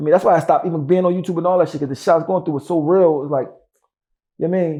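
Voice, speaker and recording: Over a quiet background, a man with a high pitch and a dark, mellow tone talks at a very fast pace. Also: fairly even intonation. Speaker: rapper. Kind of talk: interview.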